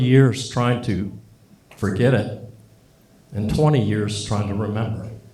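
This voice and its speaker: There is audible room echo as a man speaks at a moderate pace in a somewhat breathy voice. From born in Japan to a US Navy family. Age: 60s. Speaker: Air Force veteran, son of a war survivor. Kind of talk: speech.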